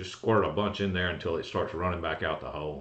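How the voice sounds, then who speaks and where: A man's fairly low, fairly quick voice with ordinary pitch variation and audible room echo. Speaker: golf cart repair host. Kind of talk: livestream Q&A explanation. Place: office. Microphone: webcam.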